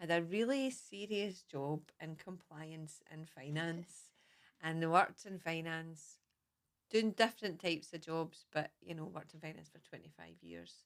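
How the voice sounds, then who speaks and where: Moderate pace from a woman with fairly low pitch and big swings in loudness. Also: ordinary pitch variation. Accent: Scottish. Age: 40s. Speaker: mindfulness teacher. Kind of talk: casual chat.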